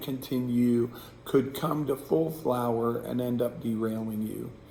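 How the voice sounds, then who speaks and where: A man's voice is heard. Noticeable noise runs behind it. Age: 60s. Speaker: pastor. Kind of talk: devotional reflection. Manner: casual, hesitant with fillers.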